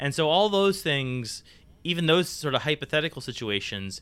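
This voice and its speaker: A man is talking. Very wide swings mark his pitch. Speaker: podcast co-host. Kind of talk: casual chat.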